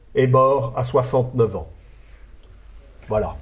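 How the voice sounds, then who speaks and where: Somewhat breathy and monotone with flat intonation, a man speaks at a very slow pace with audible room echo. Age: 60s. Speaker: conference speaker. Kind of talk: lecture. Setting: conference hall with audience. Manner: halting, frequent hesitations.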